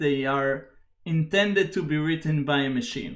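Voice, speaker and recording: The speaker has a plain, everyday voice. The pace is moderate and the pitch variation ordinary. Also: man. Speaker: software engineer hosting tech live stream. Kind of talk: technical tutorial live stream. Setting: live stream.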